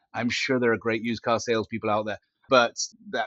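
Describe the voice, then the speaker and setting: With a British accent, a man is talking. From Britain. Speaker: company founder and CEO. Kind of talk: podcast interview.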